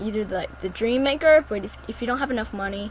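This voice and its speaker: Vocal fry colors a woman's medium-pitched voice. Her pitch varies in an ordinary way at a moderate pace. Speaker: gaming youtuber. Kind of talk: gameplay tutorial. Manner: halting.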